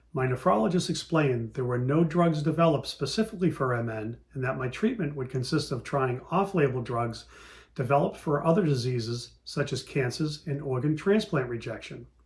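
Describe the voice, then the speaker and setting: A man speaks at a fairly high pitch and a fairly quick pace. His voice is somewhat breathy, with ordinary pitch variation. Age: 60s. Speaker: patient panelist. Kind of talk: testimony. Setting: virtual meeting. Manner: reading prepared statement.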